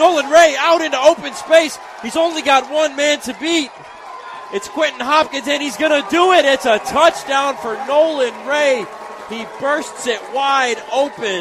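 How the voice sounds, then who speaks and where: Noticeable background noise surrounds a man with an American accent and an extremely high pitch. He talks at a fairly slow pace with ordinary pitch variation. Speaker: play-by-play sports announcer. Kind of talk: live high school football play-by-play commentary. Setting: stadium broadcast booth. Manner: excited, run-on narration of a touchdown run.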